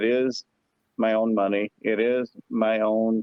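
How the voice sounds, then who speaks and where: Using an American accent, a man talks at a medium pitch. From Arkansas, US South. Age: 40s. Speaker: tournament angler. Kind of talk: podcast interview. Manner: casual, hesitant with repetitions.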